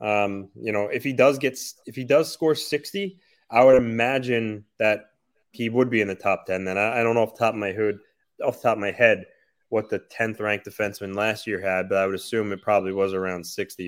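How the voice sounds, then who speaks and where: A man with a medium pitch talks at a fairly quick pace, his pitch varying in an ordinary way. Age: 30s. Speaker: hockey podcast co-host. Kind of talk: casual chat. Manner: halting, many fillers.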